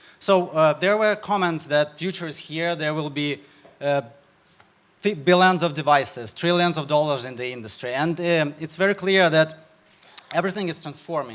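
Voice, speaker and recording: Through noticeable background noise, a man with a Ukrainian accent speaks with ordinary pitch variation. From Ukraine. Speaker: startup founder. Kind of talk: sales pitch. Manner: halting.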